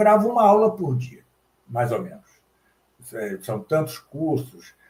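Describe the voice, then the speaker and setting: Very slowly and with very wide pitch swings, a man speaks in a somewhat breathy voice. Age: 70s. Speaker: professor and translator. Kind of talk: interview.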